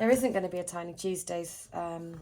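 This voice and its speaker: A woman with a British accent speaks at a moderate pace. Her pitch is fairly low and her intonation fairly even. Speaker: budgeting vlogger. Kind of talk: casual chat.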